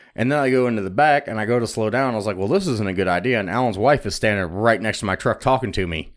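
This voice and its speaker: Speaking very fast with hardly any pauses, a man uses a medium pitch and ordinary pitch variation on a very clean recording with a silent background. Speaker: podcast co-host. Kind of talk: casual banter, crude comedy podcast. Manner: crude, joking, interrupts.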